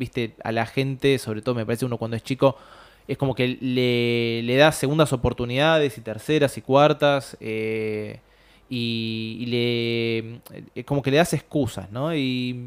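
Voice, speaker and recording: With a Rioplatense accent, a man talks at a fairly slow pace. His pitch is medium, with ordinary variation. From Buenos Aires, Argentina. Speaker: short story writer. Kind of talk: interview.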